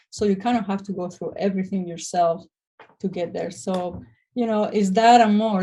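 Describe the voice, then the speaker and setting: A dark, mellow, somewhat breathy voice with a Spanish accent at a fairly quick pace. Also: woman. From Spain. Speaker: restoration business owner. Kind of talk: interview. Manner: hesitant, many fillers.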